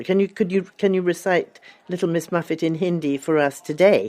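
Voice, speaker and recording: A woman speaks in an ordinary speaking voice. Her pitch is fairly low, and her pace is moderate. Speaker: author. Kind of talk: interview answer.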